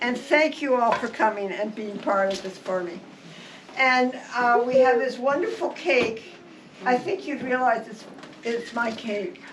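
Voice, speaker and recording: Against noticeable background noise and audible room echo, a woman speaks at a fairly slow pace in a high pitch, with lively intonation and big swings in loudness. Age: 80s+. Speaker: retired nurse and birthday celebrant. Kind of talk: birthday party speech. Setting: party with guests.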